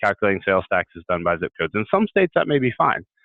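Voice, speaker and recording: A man talks at a very fast pace. The sound is dry with no echo, and the background is quiet. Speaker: sales tax software rep. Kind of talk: webinar presentation. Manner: repeats words, halting. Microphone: video call.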